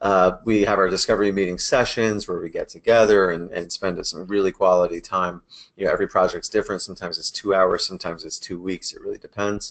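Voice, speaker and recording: The speech races at a very fast pace with hardly any pauses and big swings in loudness. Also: man. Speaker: web agency presenter. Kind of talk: webinar presentation. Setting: webinar.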